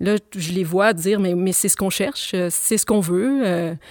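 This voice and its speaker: A woman at a fairly slow pace with ordinary pitch variation, dry and close with no echo, on a very clean recording with a silent background. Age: 40s. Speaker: writer and philosophy teacher. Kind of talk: radio interview. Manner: hesitant, repeats words.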